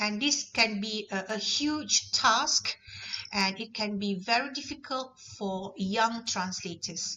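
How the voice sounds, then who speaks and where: A woman with a Malaysian accent, fairly high pitched, with lively intonation at a very slow pace. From Malaysia, Negeri Sembilan. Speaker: university lecturer. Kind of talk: lecture.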